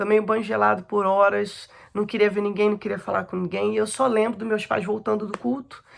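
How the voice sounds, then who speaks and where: A woman speaks at a fairly quick pace with vocal fry and fairly even intonation. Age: 30s. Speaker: abuse survivor giving testimony. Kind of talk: testimony.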